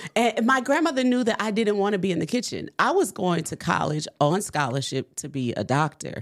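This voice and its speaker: A woman with a New Orleans accent talks at a fairly quick pace with hardly any pauses, her medium pitch swinging very widely. Vocal fry comes through on a very clean recording with a silent background. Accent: New Orleans US Southern. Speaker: entrepreneur and baker. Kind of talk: testimony.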